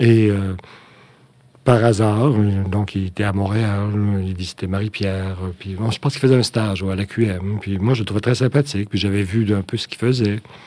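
A man speaks with a fairly low pitch and a dark, mellow tone. His intonation stays fairly even. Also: moderate pace. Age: 60s. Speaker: puppeteer and artistic director. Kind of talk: interview. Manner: halting.

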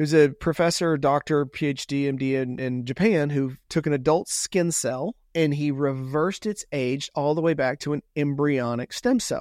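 With a Texan accent, a man talks at a moderate pace in a fairly high pitch with ordinary pitch variation, on a very clean recording with a silent background and a dry, close sound with no echo. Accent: Texan American. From Texas, Houston. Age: 50s. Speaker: longevity entrepreneur. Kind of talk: podcast interview.

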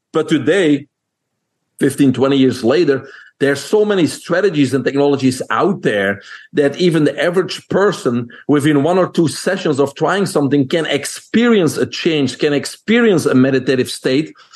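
A man with a Belgian accent and a fairly high voice talks at a moderate pace, his intonation lively and his loudness very even. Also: quiet background. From Belgium. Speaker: holistic nutrition expert. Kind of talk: interview.

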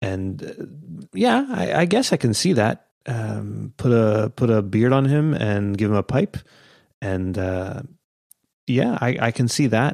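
On a very clean recording with a silent background, a man speaks fairly slowly in an ordinary speaking voice of medium pitch with ordinary pitch variation. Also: dry, close sound with no echo. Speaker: podcaster. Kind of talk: casual chat.

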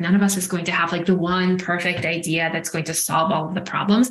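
A woman speaks at a medium pitch and a fairly quick pace. Her voice is somewhat breathy. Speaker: executive coach. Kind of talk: interview.

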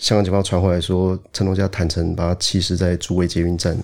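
Very deep and low with a dark, mellow tone, a man talks at a very fast pace in a very clean recording with a silent background. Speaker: police officer. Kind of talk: interview. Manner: hesitant, with many fillers.

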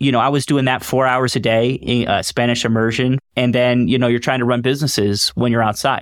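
Very even in loudness, a man with an American accent speaks in a monotone, flat intonation. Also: medium pitch for a man, fairly quick pace. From US South, Raleigh, North Carolina. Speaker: investment firm founder. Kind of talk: interview.

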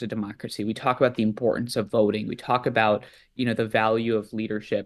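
A man with an American accent speaks at a very fast pace. His pitch is medium, and the background is quiet. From US East Coast. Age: 20s. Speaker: nonprofit leader, student movement organizer. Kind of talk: interview.

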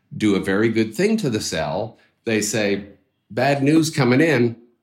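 In a very clean recording with a silent background, a man of medium pitch speaks fairly slowly with lively intonation in an unremarkable speaking voice. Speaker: biotech co-founder, former professor. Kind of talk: interview.

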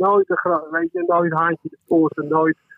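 This is a man talking. His pitch is high. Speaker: musician. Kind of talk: casual chat. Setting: phone call.

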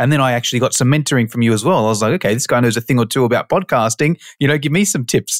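A man with an Australian accent talks very fast at medium pitch, with ordinary pitch variation and very even loudness, in a dry, close sound with no echo on a very clean recording with a silent background. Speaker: personal trainer and online course educator. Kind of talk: casual interview chat.

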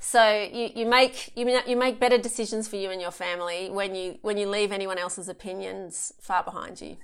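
A woman with an unremarkable speaking voice talks fairly quickly at a medium pitch with fairly even intonation. Her loudness swings widely on a very clean recording with a silent background. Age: 40s. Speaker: author and speaker on childbirth. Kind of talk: interview.

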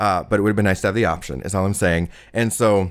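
An American accent with ordinary pitch variation, on a very clean recording with a silent background. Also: man. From Southern California. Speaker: storyteller. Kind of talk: personal storytelling interview. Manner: hesitant, many fillers and restarts.

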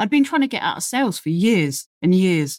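Speaking at a fairly quick pace with a London accent, a woman makes very wide pitch swings in a dry, close sound with no echo. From London, England. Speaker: crane operator and technical officer. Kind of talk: casual interview chat. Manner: talkative.

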